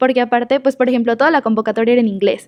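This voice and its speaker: A woman speaks at a high pitch with monotone, flat intonation. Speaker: student selected for space program. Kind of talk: interview.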